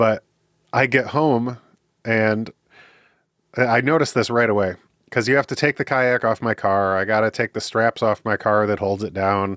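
A man at a moderate pace with long, frequent pauses and fairly even intonation, in a very clean recording with a silent background. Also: medium pitch for a man. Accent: Midwestern US. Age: 30s. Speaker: podcast guest, recovering drinker and counseling student. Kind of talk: interview conversation.

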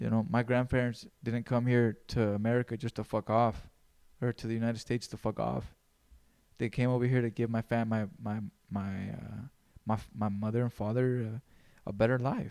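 Recorded very cleanly against a silent background, a man speaks in a dark, mellow tone at medium pitch and moderate pace, with a dry, close sound and no echo. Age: 20s. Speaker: podcast host. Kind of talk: solo podcast monologue.

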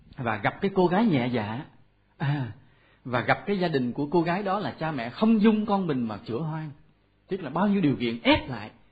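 This voice moves at a moderate pace, its pitch swinging very widely. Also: man, fairly high pitch for a man. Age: 40s. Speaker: Buddhist monk lecturer. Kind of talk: dharma talk. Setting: temple hall with audience.

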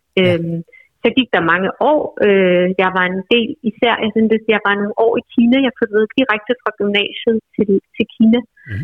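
A woman with an unremarkable speaking voice talks at a moderate pace, her pitch fairly high and ordinary in variation. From Bornholm, Denmark. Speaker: novelist. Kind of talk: interview. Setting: phone call.

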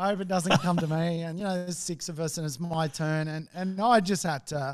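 A man speaks with an Australian accent. His pitch sits high. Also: very clean recording, silent background. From Australia, Sydney. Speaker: real estate investor. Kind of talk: casual chat. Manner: halting.

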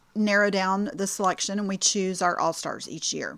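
With a Texan accent, a woman speaks at a medium pitch. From Clear Lake area south of Houston, Texas. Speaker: substance abuse prevention worker. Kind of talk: interview.

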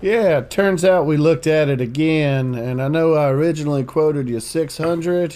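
Hardly pausing, a man with a plain, everyday voice speaks at a moderate pace and fairly high pitch, with ordinary pitch variation. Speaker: podcast co-host. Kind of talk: casual banter, comedic game show.

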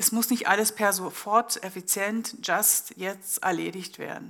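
A woman with a medium pitch and fairly even intonation is heard in a very clean recording with a silent background. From East Germany. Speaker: business manager and lecturer. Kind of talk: public panel discussion. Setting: live event at an exhibition venue.

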